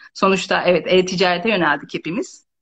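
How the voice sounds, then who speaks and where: A woman talks in a normal speaking voice at a fairly quick pace. Her pitch is medium. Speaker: visual merchandising trainer and consultant. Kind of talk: casual interview.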